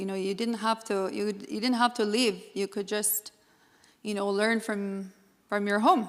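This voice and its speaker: This woman's voice sits at a fairly high pitch. She speaks in a flat monotone. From Treaty Six territory, Canada (First Nations). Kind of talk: conference presentation. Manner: halting, many fillers.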